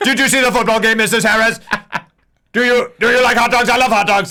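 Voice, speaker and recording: A man's put-on robotic character voice, extremely high-pitched and very fast. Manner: stupid, robotic.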